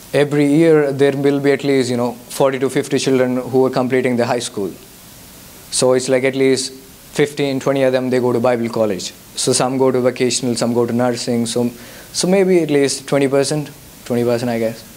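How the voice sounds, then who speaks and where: A man with a Telugu accent, at a fairly quick pace and with fairly even intonation, amid audible room echo and noticeable background noise. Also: medium pitch for a man. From India. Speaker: guest speaker, mission worker. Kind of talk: testimony with Q&A. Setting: church youth service. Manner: halting.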